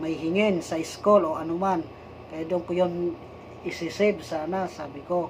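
A man with a high pitch and monotone, flat intonation speaks at a moderate pace amid noticeable background noise. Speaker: vlogger, church worker. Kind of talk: personal vlog monologue. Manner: halting, with fillers.

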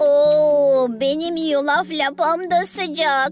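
Over clear music in the background, a put-on character voice with a high pitch crawls along at a very slow pace.

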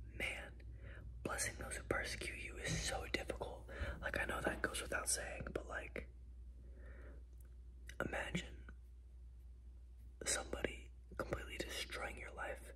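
Soft-spoken and relaxed in tone, a man talks at a moderate pace with long, frequent pauses over light background noise. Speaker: ASMR creator. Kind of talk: ASMR Bible reading with casual commentary to camera. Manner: soft-spoken, relaxed. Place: home room. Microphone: phone near.

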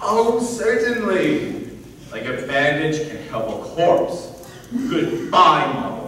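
Using a put-on character voice, a man talks slowly in a fairly high, bright, sharp tone with big pitch swings and strong room echo.

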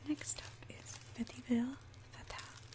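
Her voice drops to a whisper. The speaker is a woman. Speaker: ASMR creator. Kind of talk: ASMR perfume review, soft-spoken to camera. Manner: whispered, soft-spoken. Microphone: studio mic.

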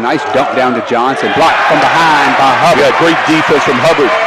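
The speech comes at a fairly quick pace amid loud background noise. The sound is dry with no echo. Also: man. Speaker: play-by-play announcer. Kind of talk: live basketball play-by-play commentary, clipped fragments. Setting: courtside at home gym. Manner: rapid, clipped calls tracking each pass and shot; rising excitement at scoring plays and the closing free throws. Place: stadium. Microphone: headset.

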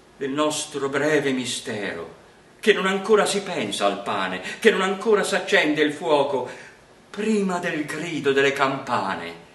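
Very wide pitch swings mark this man's fairly slow delivery. Audible room echo surrounds his voice. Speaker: poetry reader. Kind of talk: poetry reading. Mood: calm, warm, expressive.

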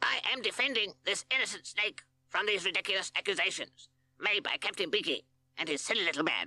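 A put-on character voice, female-sounding and medium in pitch for a woman, at a fairly quick pace. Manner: pompous, defensive.

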